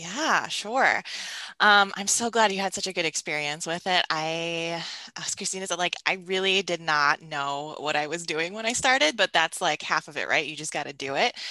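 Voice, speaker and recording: A bright, sharp voice with an American accent and lively intonation at a moderate pace, dry and close with no echo, over a quiet background. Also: woman. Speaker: creativity coach. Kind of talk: casual interview chat. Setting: video call. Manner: soothing, calm.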